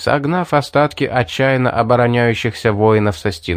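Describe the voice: Ordinary pitch variation in plain reading aloud.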